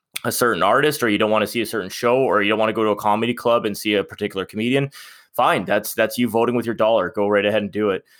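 In a very clean recording with a silent background, a man with a Canadian accent speaks at a fairly low pitch with fairly even intonation. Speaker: podcast host. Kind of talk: casual chat.

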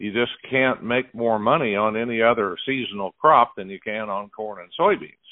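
In an American accent, a plain, everyday voice keeps a moderate pace with hardly any pauses, ordinary pitch variation and big swings in loudness. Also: man, medium pitch for a man. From Oklahoma. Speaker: radio host. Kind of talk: interview.

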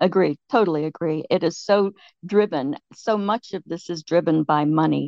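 With ordinary pitch variation and a moderate pace, a woman talks in a fairly low voice. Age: 60s. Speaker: retired nurse, listener joining the call. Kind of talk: casual political conversation. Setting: online call from home. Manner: halting, with frequent false starts.

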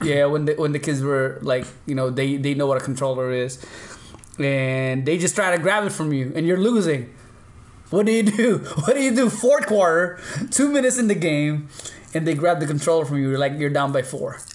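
A man with a Filipino accent talks at a moderate pace in a fairly high pitch. His intonation is lively and his tone animated. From Philippines. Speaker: podcast host. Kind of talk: casual chat. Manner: animated, laughs often.

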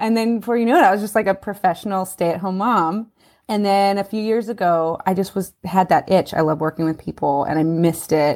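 A woman with an American accent speaks at a fairly quick pace in an ordinary speaking voice, her pitch medium with ordinary variation. The recording is very clean with a silent background. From US West Coast, Los Angeles. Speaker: parent coach. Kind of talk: interview conversation.

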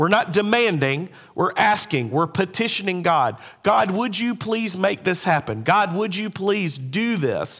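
A man speaks at a fairly slow pace in a high pitch. His intonation is lively. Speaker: pastor. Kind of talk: sermon. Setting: church.

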